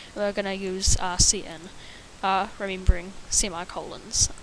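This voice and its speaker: A woman talks in a monotone, flat way, with clear background noise present. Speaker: programming tutor. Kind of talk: tutorial. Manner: halting, many fillers; stutter.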